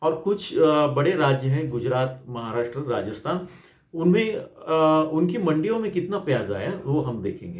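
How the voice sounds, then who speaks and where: A man with a non-native accent speaks at a fairly high pitch. Audible room echo surrounds his voice. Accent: non-native Hindi. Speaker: agricultural journalist. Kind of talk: market report. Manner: halting, many fillers.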